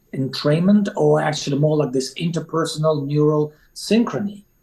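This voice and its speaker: Dark and mellow in tone, the voice has a non-native accent and ordinary pitch variation. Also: man. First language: not English. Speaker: resilience coach. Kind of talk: podcast interview. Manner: halting, many fillers.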